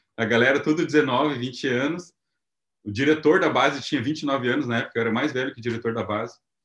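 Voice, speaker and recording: A man with a plain, everyday voice speaks at a fairly quick pace, his medium pitch showing ordinary pitch variation. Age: 30s. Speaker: missionary and entrepreneur. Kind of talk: testimony.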